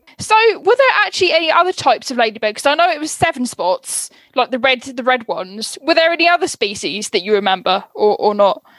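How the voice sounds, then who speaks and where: Her pace is fairly quick, and the sound is dry and close with no echo. The woman's high voice moves in very wide pitch swings. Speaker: podcast host. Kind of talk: casual chat.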